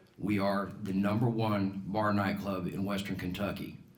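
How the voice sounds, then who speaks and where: A fairly low-pitched man with an American accent, his voice carrying audible room echo. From Colorado, US. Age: 60s. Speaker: political candidate, business owner. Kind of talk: campaign speech at candidate forum.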